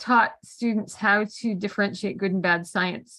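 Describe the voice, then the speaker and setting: A woman with a Canadian accent and an ordinary speaking voice, fairly high in pitch, with ordinary pitch variation and a quiet background. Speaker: mental health peer advocate. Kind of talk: panel discussion.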